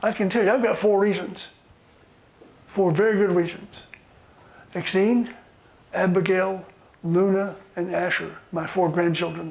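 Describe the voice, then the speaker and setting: The speech moves at a fairly slow pace with long, frequent pauses and fairly even intonation. Noticeable background noise and audible room echo are present. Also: man, high pitch for a man. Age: 70s. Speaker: workshop facilitator. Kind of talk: guided group exercise. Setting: conference room with audience.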